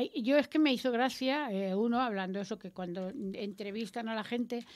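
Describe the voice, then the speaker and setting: An ordinary speaking voice from a woman, fairly high in pitch with ordinary pitch variation, at a fairly quick pace. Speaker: radio host. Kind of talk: panel discussion. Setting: radio studio. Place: studio. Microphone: studio mic.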